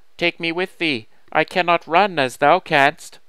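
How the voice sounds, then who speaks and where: Using a put-on character voice, a man speaks croakily at a moderate pace in a high pitch, on a very clean recording with a silent background. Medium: read story. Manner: archaic thee-and-thou speech.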